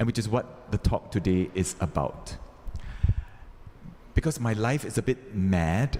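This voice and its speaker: A man's fairly low, dark, mellow voice with lively intonation and very even loudness, at a fairly slow pace with long, frequent pauses. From Singapore. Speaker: Franciscan priest giving a retreat talk. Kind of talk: retreat talk to a live audience. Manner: deliberately slowed pace; interactive, audience-engaging.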